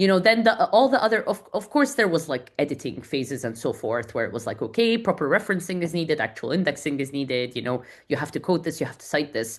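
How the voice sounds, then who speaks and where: A woman with a non-native accent speaks very fast, with hardly any pauses, and her very deep, low pitch swings very widely. Her loudness shifts in big swings over a quiet background. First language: not English. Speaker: community founder and author. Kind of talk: podcast interview. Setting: podcast recording. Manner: fast, with frequent repetitions and restarts.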